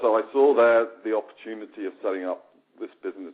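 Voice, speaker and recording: A man in a British accent speaks at a fairly quick pace. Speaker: company founder. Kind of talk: webinar presentation.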